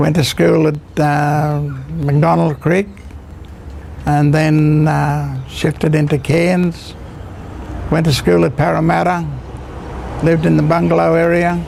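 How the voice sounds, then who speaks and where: Speaking at a very slow pace with long, frequent pauses, a man with an Australian accent keeps his loudness very even, with audible room echo and noticeable background noise. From Queensland, Australia. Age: 80s+. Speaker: grandfather telling life story. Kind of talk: personal storytelling interview. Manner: halting, many fillers.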